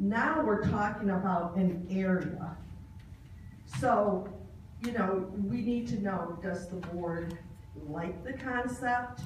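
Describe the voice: A woman speaks slowly at a medium pitch with ordinary pitch variation. Audible room echo surrounds her voice.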